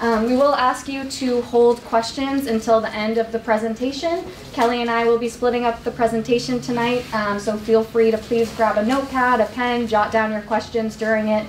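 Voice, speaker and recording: Hardly pausing, a woman speaks at a moderate pace with monotone, flat intonation, with audible room echo and light background noise. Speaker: presenter. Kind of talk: presentation to community meeting. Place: meeting room. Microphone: camera far.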